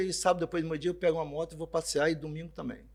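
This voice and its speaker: The background is silent and the recording very clean. A man talks. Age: 60s. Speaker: motorcycle dealership sales director. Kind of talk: podcast interview. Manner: casual conversational.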